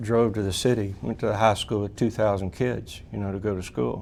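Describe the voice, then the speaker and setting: A man with an East Texas accent talks at a fairly quick pace, his fairly low pitch held in fairly even intonation. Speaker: drilling fluids specialist, hall of fame inductee. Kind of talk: interview testimony.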